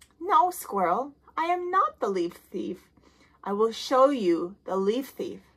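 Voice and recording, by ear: In a cartoonish character voice, a woman speaks slowly at a fairly high pitch with big pitch swings. Her voice has a slightly husky edge.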